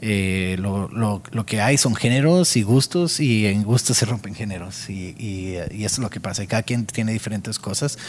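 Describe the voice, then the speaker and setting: A fairly low-pitched man at a moderate pace, with ordinary pitch variation and hardly any pauses. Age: 30s. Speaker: musician and audio engineer. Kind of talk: interview. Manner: halting, many repeated words.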